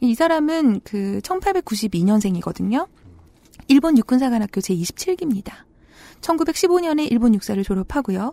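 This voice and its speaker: A woman's high voice, very slow, with very wide swings in pitch and a dry, close sound free of echo. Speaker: Korean studies scholar. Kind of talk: explanatory discussion.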